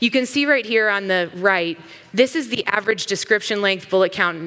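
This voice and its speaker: The speaker has an American accent and an animated tone at a fairly quick pace. Noticeable background noise is present. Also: woman. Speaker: company CEO, conference speaker. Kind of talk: conference talk. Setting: stage with audience. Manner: fast.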